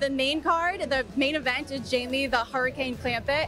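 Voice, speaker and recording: Excited and high-pitched, a woman talks at a moderate pace with ordinary pitch variation in a dry, echo-free space while clear music plays behind her. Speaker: ring announcer and TV host. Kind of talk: excited interview answer. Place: hall. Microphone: handheld.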